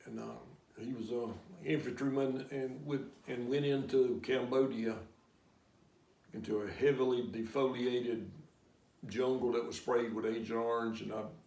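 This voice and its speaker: Moderate pacing with long, frequent pauses and audible room echo. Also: man, medium pitch for a man, fairly even intonation. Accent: American. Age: 70s. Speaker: war veteran. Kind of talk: interview answers. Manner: halting.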